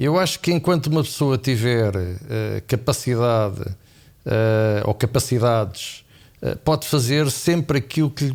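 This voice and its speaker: A man talks at a medium pitch and a fairly slow pace. His pitch varies in an ordinary way, on a very clean recording with a silent background. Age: 60s. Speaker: finance professor and markets expert. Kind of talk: podcast interview. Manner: hesitant, many fillers.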